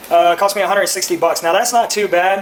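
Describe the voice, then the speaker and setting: Someone speaks at a very fast pace with a Texan accent. Noticeable background noise runs behind the voice. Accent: Texas English. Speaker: car enthusiast YouTuber. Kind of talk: casual unboxing vlog.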